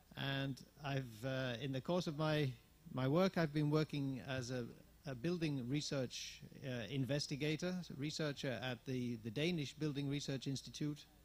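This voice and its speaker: Speaking at a moderate pace, a man has a fairly high pitch. He talks with an English accent. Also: ordinary pitch variation. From England. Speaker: managing director of a tourism network, workshop speaker. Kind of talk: conference presentation. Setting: workshop with audience. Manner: halting, many fillers.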